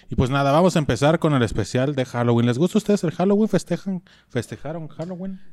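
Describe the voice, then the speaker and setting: A man with a Mexican accent, fairly high-pitched, very fast, with lively intonation, on a very clean recording against a silent background. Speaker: podcast host. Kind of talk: reading aloud; casual chat.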